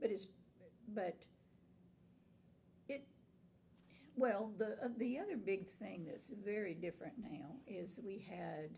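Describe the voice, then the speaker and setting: Very slowly, a woman with an American accent talks at medium pitch with vocal fry and a dark, mellow tone. Her pitch varies in an ordinary way, and she leaves long, frequent pauses. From Florida, Tampa Bay area. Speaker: nursing instructor and college administrator. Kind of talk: oral history interview answer.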